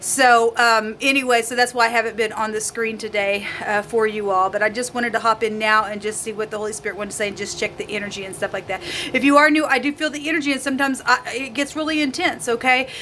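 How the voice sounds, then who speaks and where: Against noticeable background noise, a woman with a fairly high pitch talks very fast with hardly any pauses and ordinary pitch variation. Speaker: tarot reader. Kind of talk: tarot reading. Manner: halting.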